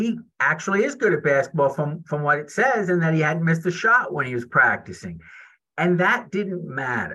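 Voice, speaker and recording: At a moderate pace, a man with a high voice sounds enthusiastic, his tone bright and sharp and his intonation lively. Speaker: speech language pathologist and author. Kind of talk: interview with reading aloud.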